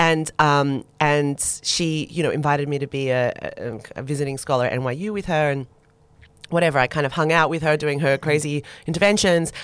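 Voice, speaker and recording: A woman talks at a fairly quick pace with an Australian accent. Her voice is very deep and low, with fairly even intonation. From Australia (Sydney; born in Turkey per family move). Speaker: sustainability designer and sociologist. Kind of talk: casual interview chat. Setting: studio.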